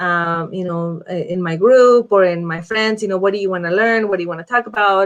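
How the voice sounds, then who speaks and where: Speaking with a non-native accent, this woman's voice rests at a medium pitch. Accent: has a foreign. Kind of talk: casual live video talk.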